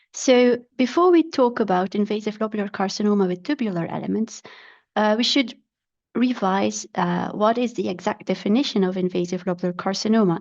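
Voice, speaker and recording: A woman speaks at a fairly quick pace with a non-native accent. Her pitch is medium with ordinary variation, over a quiet background. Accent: non-native English speaker. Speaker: pathologist. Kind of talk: lecture. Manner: halting, with fillers.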